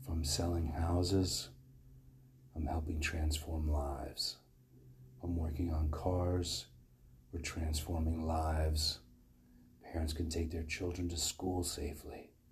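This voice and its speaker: A man's very deep, low voice, somewhat breathy and monotone, at a fairly slow pace with long, frequent pauses. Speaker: meditation leader. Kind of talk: guided meditation. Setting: room with live group.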